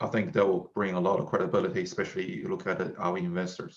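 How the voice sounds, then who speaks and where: A man talks at a very fast pace. He has a Chinese accent. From China. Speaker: tech startup founder. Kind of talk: casual interview conversation.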